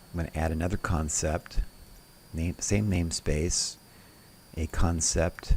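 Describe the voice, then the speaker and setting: Somewhat breathy and very deep, a man's voice moves at a fairly slow pace with long, frequent pauses. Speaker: software tutorial presenter. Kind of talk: tutorial.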